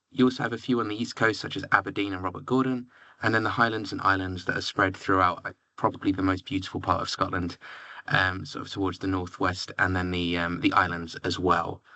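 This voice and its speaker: Man with a very deep, low pitch and fairly even intonation, at a very fast pace. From southern England, near London. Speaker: university recruitment representative. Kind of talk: presentation.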